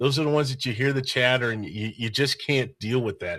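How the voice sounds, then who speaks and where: A man at a fairly quick pace, bright, sharp tone and ordinary pitch variation, in a very clean recording with a silent background. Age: old. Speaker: sports podcast host. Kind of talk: casual chat.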